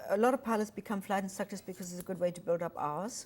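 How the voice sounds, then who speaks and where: A woman speaks in a German accent with ordinary pitch variation. Her tone is dark and mellow. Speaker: retired airline pilot and author. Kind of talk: TV interview.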